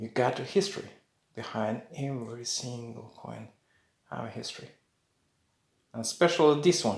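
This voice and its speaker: A man's medium-pitched, somewhat breathy voice with lively intonation, big swings in loudness, a moderate pace, long and frequent pauses, and audible room echo. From Norway. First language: Norwegian. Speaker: coin collector YouTuber. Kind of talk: casual video talk. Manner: halting.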